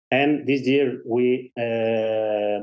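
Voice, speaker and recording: With a Spanish accent, a man talks at medium pitch in a monotone, flat intonation. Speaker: race director. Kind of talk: interview. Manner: halting.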